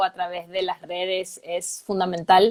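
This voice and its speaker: A woman speaks at a fairly slow pace, her voice dry and close with no echo. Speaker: clinical psychologist. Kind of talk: live interview. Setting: Instagram live video.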